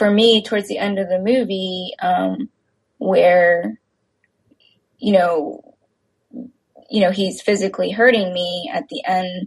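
Speaking at a fairly slow pace with an American accent, a woman sounds somewhat breathy, at medium pitch with ordinary pitch variation. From Texas. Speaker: filmmaker. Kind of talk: interview. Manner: hesitant, many fillers.

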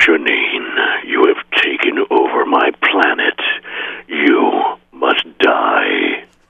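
A man speaks at a very slow pace in a put-on character voice with extremely high pitch. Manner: menacing, villainous.

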